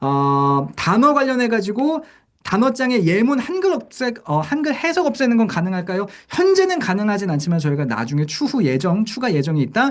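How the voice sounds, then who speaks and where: A man's high-pitched voice swings very widely in pitch. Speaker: company CEO presenting education program. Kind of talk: online product briefing with Q&A. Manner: fast.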